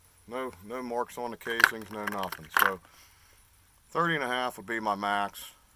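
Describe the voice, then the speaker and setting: A man with fairly even intonation, against noticeable background noise. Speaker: firearms hobbyist channel owner. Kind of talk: tutorial. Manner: casual.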